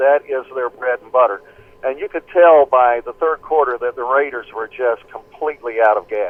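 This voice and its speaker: Here a man speaks in a Southern US accent. His pace is moderate. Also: medium pitch for a man, ordinary pitch variation, big swings in loudness. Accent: US South (Tennessee). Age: 60s. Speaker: play-by-play radio broadcaster. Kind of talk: phone interview. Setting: phone call.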